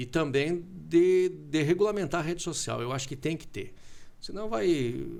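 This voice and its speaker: Here a man has an unremarkable speaking voice with a fairly high pitch. He moves at a moderate pace with lively intonation. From southern Brazil (Concórdia, Santa Catarina). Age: 40s. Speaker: radio broadcaster. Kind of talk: casual interview chat. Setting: TV studio.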